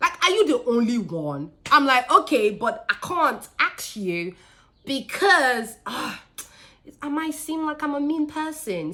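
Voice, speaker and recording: Raising and projecting her voice, a woman with a high pitch sounds animated and makes very wide pitch swings. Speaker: business owner and faith vlogger. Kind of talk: storytelling.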